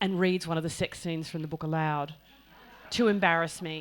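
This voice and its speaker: This woman speaks at a moderate pace with a fairly low pitch and an Australian accent. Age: 60s. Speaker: author. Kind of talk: panel conversation at writers festival. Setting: hall with live audience. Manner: halting, many fillers.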